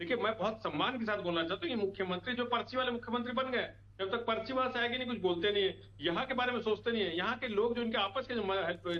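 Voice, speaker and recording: This man speaks in an animated tone at an extremely high pitch, with ordinary pitch variation and noticeable background noise behind him. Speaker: opposition party spokesperson. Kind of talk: heated TV debate. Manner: animated, forceful.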